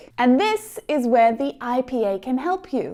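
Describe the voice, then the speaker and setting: Very slowly, a woman with an Australian accent speaks at a high pitch with a dark, mellow tone on a very clean recording with a silent background. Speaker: English pronunciation teacher. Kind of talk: tutorial.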